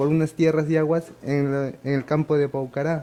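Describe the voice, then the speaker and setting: A man's dark, mellow tone in monotone, flat intonation. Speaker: award recipient, archivist. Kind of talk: acceptance speech. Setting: ceremony with audience. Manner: halting, with fillers.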